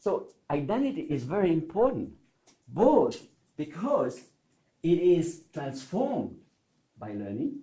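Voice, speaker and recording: With a French accent and a dark, mellow tone, a man speaks with very wide pitch swings amid audible room echo. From Switzerland, French-speaking. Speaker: learning theorist giving keynote. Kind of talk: conference talk. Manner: conversational, many fillers and repetitions.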